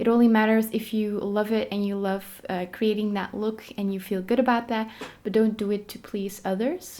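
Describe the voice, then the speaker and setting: Speaking at a moderate pace, a woman with a Dutch accent has a dark, mellow tone, a fairly high pitch and monotone, flat intonation. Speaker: lifestyle vlogger. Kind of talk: casual tutorial vlog. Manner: casual, filler-heavy.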